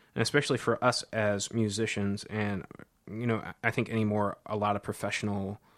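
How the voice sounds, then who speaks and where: With an American accent and an unremarkable speaking voice, a man talks at a moderate pace and fairly low pitch in a very clean recording with a silent background. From US Midwest, Cedar Rapids, Iowa. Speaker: jazz professor and saxophonist. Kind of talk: interview. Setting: office.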